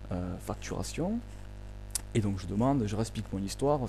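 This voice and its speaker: Someone soft-spoken talks at a moderate pace, with music in the background and audible room echo. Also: man. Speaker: vlogger. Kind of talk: complaint monologue. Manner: hesitant, many fillers.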